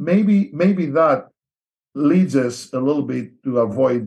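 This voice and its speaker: A man with a Greek accent has a dark, mellow tone. His pitch varies in an ordinary way. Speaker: missionary. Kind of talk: interview.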